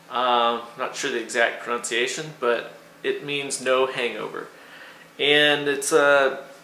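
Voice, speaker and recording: Light background noise and audible room echo surround the speaker. A man talks at a fairly slow pace. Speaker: product reviewer. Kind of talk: casual vlog chat. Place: kitchen. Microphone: phone near.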